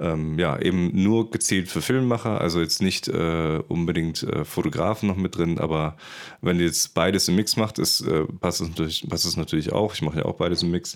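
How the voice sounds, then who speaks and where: The recording is very clean, with nothing heard in the background. A man speaks at a very deep, low pitch. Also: ordinary pitch variation, moderate pace. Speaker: podcast host for filmmakers. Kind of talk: casual interview.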